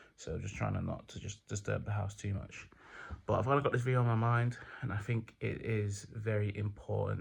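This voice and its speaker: On a very clean recording with a silent background, a man with a medium pitch and a somewhat breathy voice talks fairly quickly in a monotone, flat way. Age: 20s. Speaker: vlogger. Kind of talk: casual vlog monologue. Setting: at home at night. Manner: quiet, not full volume; hesitant, many fillers.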